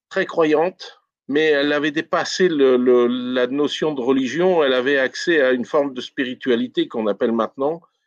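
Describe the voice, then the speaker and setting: At a moderate pace, a man speaks with a fairly high pitch, the sound dry and close with no echo. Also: ordinary pitch variation. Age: 60s. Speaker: retired police detective and healer. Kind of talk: interview. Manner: halting.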